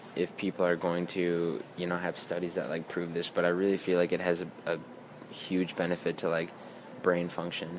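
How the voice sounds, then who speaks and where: At a moderate pace, a man talks in a very deep, low voice with monotone, flat intonation. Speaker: beauty and wellness vlogger. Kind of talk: casual vlog monologue. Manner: halting with many repetitions and fillers.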